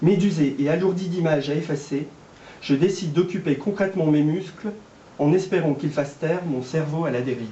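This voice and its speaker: Using an ordinary speaking voice, a man talks at a fairly quick pace with fairly high pitch and ordinary pitch variation. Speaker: amateur reader / actor taking part in a public reading. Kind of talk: literary reading aloud of a novel, shared between three readers.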